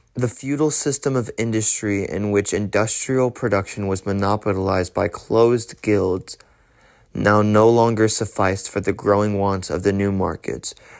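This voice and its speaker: The recording is very clean, with a silent background. A man has a normal speaking voice, fairly low in pitch, with fairly even intonation at a moderate pace. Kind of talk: ASMR audiobook reading of a political text. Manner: soft, calm, ASMR-style delivery.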